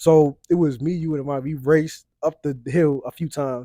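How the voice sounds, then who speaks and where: A man with a fairly high pitch has big swings in loudness. The sound is dry and close, with no echo. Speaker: podcast host. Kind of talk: casual chat. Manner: fast, tripping over words.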